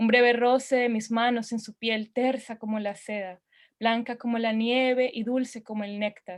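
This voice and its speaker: A woman with a fairly high pitch speaks in monotone, flat intonation at a moderate pace, in a very clean recording with a silent background. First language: Spanish. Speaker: open-mic poet. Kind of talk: poetry reading.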